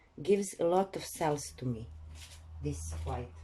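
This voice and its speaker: The woman's delivery is very slow. She talks with a non-native accent. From Croatia. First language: Croatian. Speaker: acrylic pouring artist. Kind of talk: tutorial. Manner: halting.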